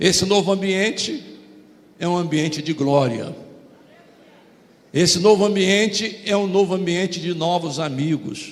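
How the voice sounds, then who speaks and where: Through noticeable background noise and audible room echo, a man with a high pitch speaks at a fairly slow pace with long, frequent pauses. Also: ordinary pitch variation. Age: 70s. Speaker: pastor. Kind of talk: sermon.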